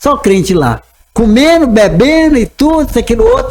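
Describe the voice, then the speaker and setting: This man speaks at a moderate pace. His intonation is lively. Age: 70s. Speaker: pastor. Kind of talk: casual chat.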